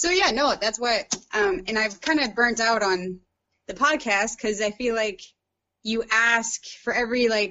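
With an American accent, a woman speaks in a plain, everyday voice at a fairly high pitch. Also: ordinary pitch variation, fairly slow pace. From US Midwest, St. Louis, Missouri. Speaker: painter and lawyer. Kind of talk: casual interview.

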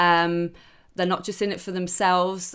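In a very clean recording with a silent background, a woman speaks in a Geordie accent. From Newcastle, northeast England. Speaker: sports TV presenter. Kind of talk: podcast interview.

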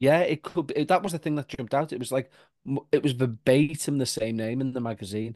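A man with a Liverpool accent at a fairly quick pace, dry and close with no echo, against a quiet background. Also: medium pitch for a man, ordinary pitch variation. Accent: Liverpool (Scouse). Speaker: paranormal podcaster. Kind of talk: casual chat.

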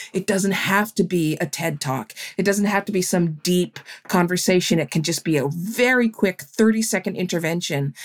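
A woman talks at a medium pitch and a moderate pace, with ordinary pitch variation. She has a plain, everyday voice, and the sound is dry and close with no echo. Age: 50s. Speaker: journalist and author. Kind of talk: interview.

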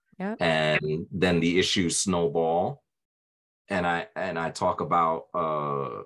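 This man speaks very slowly with a very deep, low pitch. His intonation stays fairly even. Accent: American. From Brooklyn, New York. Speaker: voice actor and author. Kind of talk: casual interview.

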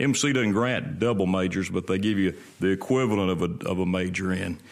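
A man with a Mississippi accent speaks at a moderate pace in a very deep, low voice with ordinary pitch variation. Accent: US Southern (Mississippi). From Mississippi, Rankin County. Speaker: state legislator, lawyer and pastor. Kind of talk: interview.

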